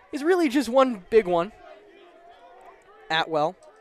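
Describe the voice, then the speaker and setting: A man speaks with crowd noise in the background. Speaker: sports play-by-play announcer. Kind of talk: live commentary. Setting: outdoor stadium broadcast. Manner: fast.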